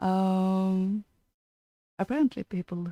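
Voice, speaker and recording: A woman speaks at a medium pitch with a Norwegian accent, her dark, mellow tone carrying ordinary pitch variation in a dry, close sound with no echo on a very clean recording with a silent background. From Norway. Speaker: podcast co-host. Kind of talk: casual chat.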